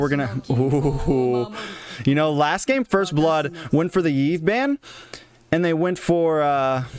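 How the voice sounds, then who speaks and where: A man speaks at a fairly high pitch, his loudness very even and his pitch varying in an ordinary way. Noticeable background noise runs under the recording. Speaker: esports tournament host and caster. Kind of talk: live esports commentary. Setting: home livestream. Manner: animated.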